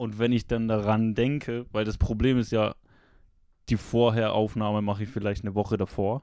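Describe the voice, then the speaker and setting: A man's fairly low, dark, mellow voice at a moderate pace, monotone and flat, with a slight Swiss accent, in a very clean recording with a silent background. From Switzerland. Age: 20s. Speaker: streamer and chat regular. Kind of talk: casual chat.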